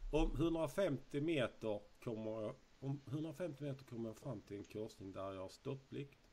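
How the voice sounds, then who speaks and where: A somewhat breathy man talks at a fairly slow pace with lively intonation over light background noise. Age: 30s. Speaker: YouTuber. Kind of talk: casual quiz video. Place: home room.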